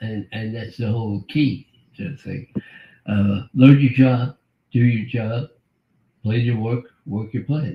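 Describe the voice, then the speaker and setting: A man at a medium pitch speaks in a somewhat breathy voice with fairly even intonation, big swings in loudness, and long, frequent pauses. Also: fairly slow pace. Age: 80s+. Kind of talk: interview answer.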